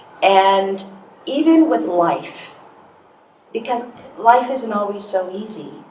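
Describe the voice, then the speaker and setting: Her fairly high voice swings very widely in pitch as a woman speaks amid audible room echo and noticeable background noise. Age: 50s. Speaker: hypnotherapist and speaker. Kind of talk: motivational talk. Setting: stage with audience. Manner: soft-spoken.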